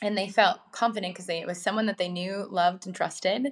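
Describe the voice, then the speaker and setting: A woman with an American accent speaks in a normal speaking voice at a medium pitch, her intonation fairly even. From rural Minnesota, US Midwest. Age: 30s. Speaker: wellness entrepreneur. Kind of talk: interview.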